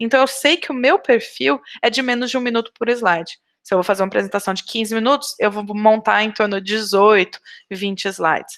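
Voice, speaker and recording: At a fairly quick pace, a woman speaks at a fairly high pitch with ordinary pitch variation. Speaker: biology researcher and lecturer. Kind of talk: lecture. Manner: fast.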